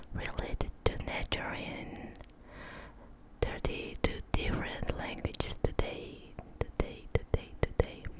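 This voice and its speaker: Over noticeable background noise, someone whispers very slowly. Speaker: ASMR artist. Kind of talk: ASMR trigger words. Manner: repetitive, slow.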